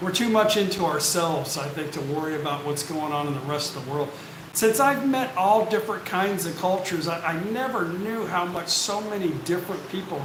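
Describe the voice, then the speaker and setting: A man with an American accent speaks at a high pitch, his intonation lively. Noticeable background noise and audible room echo fill the recording. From United States. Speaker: expat YouTuber. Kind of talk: live stream Q&A. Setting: live stream on camera. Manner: slow.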